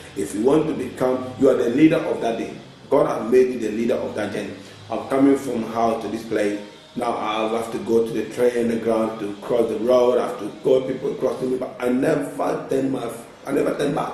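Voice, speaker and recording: A man with a strong Ghanaian accent speaks in an animated tone at a fairly quick pace, with audible room echo and noticeable background noise. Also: medium pitch for a man. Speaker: author and life coach. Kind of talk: motivational talk show interview. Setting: TV studio. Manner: animated, emphatic.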